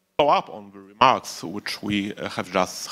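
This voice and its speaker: The speaker has a Polish accent and a moderate pace. The tone is bright and sharp. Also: man. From Poland. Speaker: think tank expert. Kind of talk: panel discussion. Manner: halting.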